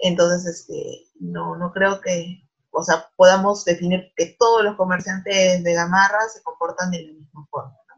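A woman with a medium-pitched, somewhat breathy voice speaks at a fairly slow pace with hardly any pauses, in a monotone, flat intonation marked by big swings in loudness. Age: 20s. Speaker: bank risk analyst. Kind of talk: interview.

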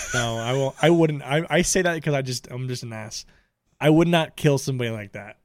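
Over a silent background in a very clean recording, a man with an American accent talks at a fairly quick pace in a medium pitch with ordinary pitch variation. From Tampa, Florida. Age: 20s. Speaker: podcast co-host. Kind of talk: casual banter, crude comedic debate. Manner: joking, profane.

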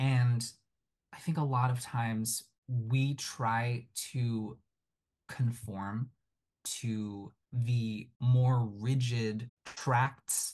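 Somewhat breathy, a man with an American accent speaks at a very slow pace with fairly even intonation. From Japan, Tokyo; moved to US at ten. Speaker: Broadway actor and puppeteer. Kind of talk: interview.

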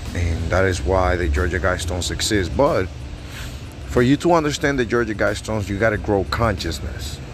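Music plays behind a man with a non-native accent and a very deep, low voice. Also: lively intonation. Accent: foreign-accented English. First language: not English. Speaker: podcast host. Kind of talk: casual monologue. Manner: fast talker.

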